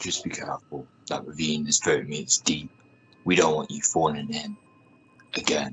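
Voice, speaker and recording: A man puts on a character voice, very deep and low in pitch. He speaks at a moderate pace with long, frequent pauses. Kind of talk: radio drama.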